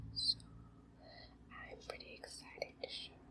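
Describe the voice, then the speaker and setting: Someone whispers at a fairly slow pace. Noticeable background noise is present. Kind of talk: ASMR card haul presentation to camera. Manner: soft-spoken, relaxing.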